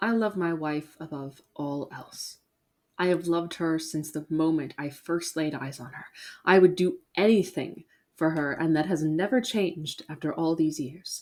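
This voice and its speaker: At a moderate pace, an ordinary speaking voice comes through with big swings in loudness on a very clean recording with a silent background. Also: woman, fairly low pitch for a woman, ordinary pitch variation. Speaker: horror story narrator. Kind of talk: horror story narration.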